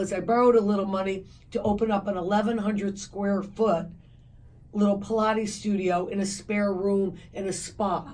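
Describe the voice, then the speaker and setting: A woman speaks at a moderate pace and medium pitch, her voice somewhat breathy and her intonation flat and monotone. Audible room echo surrounds her. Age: 60s. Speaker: fitness company founder. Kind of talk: radio interview.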